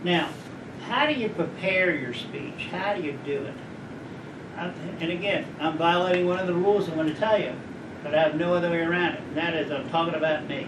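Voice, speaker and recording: With an American accent, a man talks at a fairly quick pace in a high pitch, leaving long, frequent pauses, amid noticeable background noise and audible room echo. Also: ordinary pitch variation. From Maryland, US. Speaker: judge. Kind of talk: talk to a college audience.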